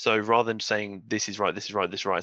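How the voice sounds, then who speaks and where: In a dry, close recording with no echo and a quiet background, a man speaks in a bright, sharp tone. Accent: English. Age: 20s. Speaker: fitness professional. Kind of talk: casual chat.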